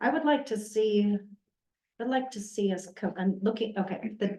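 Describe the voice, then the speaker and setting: A woman mumbles in a put-on character voice, fairly high in pitch, at a moderate pace with ordinary pitch variation. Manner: mumbling.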